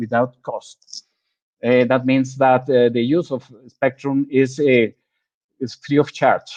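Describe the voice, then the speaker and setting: A man's medium-pitched voice with a non-native accent. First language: Spanish. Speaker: government agency head. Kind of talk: presentation. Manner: halting, repetitive.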